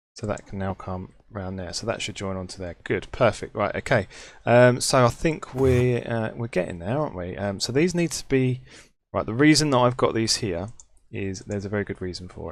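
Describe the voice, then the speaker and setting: With a British accent, a man speaks at a fairly quick pace in a medium pitch, with lively intonation and big swings in loudness, in a very clean recording with a silent background. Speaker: gaming YouTuber. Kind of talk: Let's Play commentary. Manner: casual, chatty.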